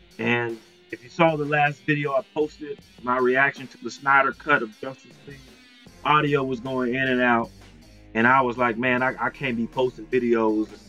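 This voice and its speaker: With faint music in the background, a man speaks in fairly even intonation, leaving long, frequent pauses. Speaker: vlogger, streamer. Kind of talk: casual vlog chat. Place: home room.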